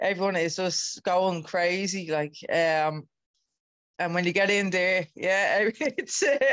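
A woman speaks at a fairly slow pace. The background is quiet and the sound is dry, with no echo. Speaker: guest. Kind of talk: interview answer. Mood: relaxed, smiling. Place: home room. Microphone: video call.

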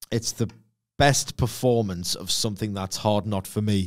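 A man with an ordinary speaking voice talks at a moderate pace and fairly low pitch, with ordinary pitch variation, against a quiet background. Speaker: podcast co-host. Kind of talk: commentary. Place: studio. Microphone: studio mic.

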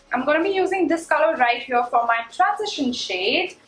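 A woman speaks at a moderate pace. Room echo is audible, along with light background noise. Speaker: beauty vlogger. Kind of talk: tutorial.

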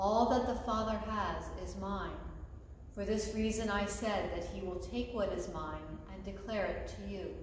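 A woman talks at a moderate pace. Light background noise and audible room echo are present. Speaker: scripture reader. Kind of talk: reading aloud. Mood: calm, solemn. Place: church. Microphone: camera far.

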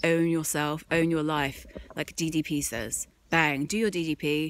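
A woman speaks with a very deep, low pitch and fairly even intonation, in a dry sound with no echo. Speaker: vlogger. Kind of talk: casual vlog rant. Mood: frustrated, ranting. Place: street. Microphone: phone near.

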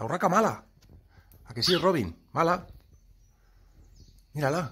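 A man talks at a fairly slow pace. His tone is bright and sharp, and his pitch is fairly high. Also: lively intonation.

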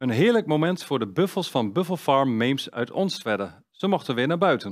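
At a moderate pace, a man speaks at a fairly high pitch with very wide pitch swings over a quiet background. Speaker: news presenter. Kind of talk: news reading. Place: studio. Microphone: headset.

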